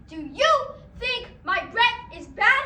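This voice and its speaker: A put-on character voice at an extremely high pitch, with slight echo. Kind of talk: school play acting. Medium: stage play.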